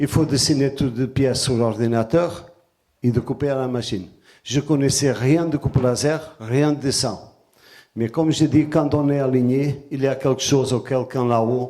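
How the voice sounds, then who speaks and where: A man with a Portuguese accent speaks at a fairly slow pace. His tone is dark and mellow, with fairly even intonation. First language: Portuguese (speaking French). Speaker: artisan and sacred geometry presenter. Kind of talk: conference talk. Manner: hesitant, with fillers.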